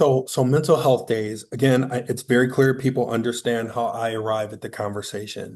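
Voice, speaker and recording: A man with medium pitch and fairly even intonation talks in an ordinary speaking voice. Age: 50s. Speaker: workforce speaker. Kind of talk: panel discussion.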